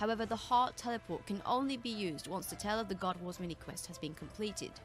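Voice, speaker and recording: A woman at a medium pitch and a very fast pace, with ordinary pitch variation and music in the background. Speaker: video game guide maker. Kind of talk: game tutorial narration.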